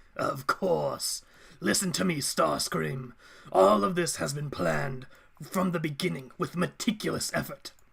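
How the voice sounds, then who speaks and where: In a raspy, put-on character voice, a man talks at a moderate pace and a fairly high pitch. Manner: menacing, commanding.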